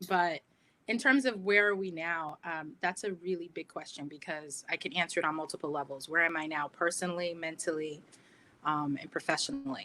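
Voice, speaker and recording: Bright and sharp in tone, a woman with an American accent talks at a fairly quick pace in a fairly low voice with ordinary pitch variation. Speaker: diversity and inclusion leader. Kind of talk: panel discussion.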